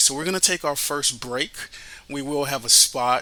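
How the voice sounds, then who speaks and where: This man has a fairly high pitch and fairly even intonation at a moderate pace. Noticeable background noise runs behind him. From Miami, Florida, Haitian family. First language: Haitian Creole. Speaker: radio host and financial advisor. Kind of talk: podcast introduction.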